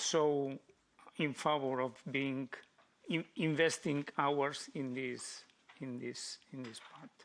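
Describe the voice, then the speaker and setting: Someone with a non-native accent talks at a very slow pace. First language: not English. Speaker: panelist. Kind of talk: panel discussion. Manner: halting.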